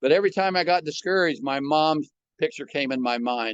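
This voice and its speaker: With a Midwestern American accent, a man talks at a moderate pace with lively intonation against a quiet background. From US Midwest, Omaha, Nebraska. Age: 80s+. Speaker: retired entrepreneur and motivational speaker. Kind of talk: podcast interview. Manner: conversational, from the heart.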